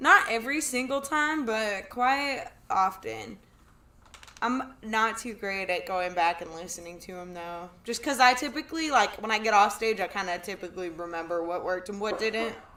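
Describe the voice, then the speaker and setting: A woman with a fairly high pitch speaks at a moderate pace with lively intonation and big swings in loudness. Noticeable background noise is present. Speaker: stand-up comedian. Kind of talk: casual chat.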